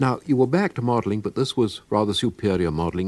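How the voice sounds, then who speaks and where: Speaking at a very fast pace in a British accent, a man uses a fairly low pitch and lively intonation. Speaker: radio presenter. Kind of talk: radio interview questions. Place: studio.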